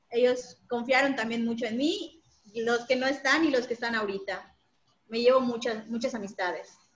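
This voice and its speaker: Moderately paced female speech, high in pitch, with ordinary pitch movement. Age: 20s. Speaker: university staff member. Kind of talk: casual interview.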